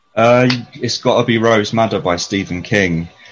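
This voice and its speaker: Talking at a fairly slow pace, a man with a London accent shows ordinary pitch variation. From North London, England. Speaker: photographer and mental health care worker. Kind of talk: casual interview. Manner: hesitant, many fillers.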